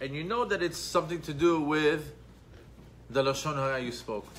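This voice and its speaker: There is light background noise as a man speaks at a moderate pace. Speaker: Torah class teacher. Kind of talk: lecture. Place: church. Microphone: phone near.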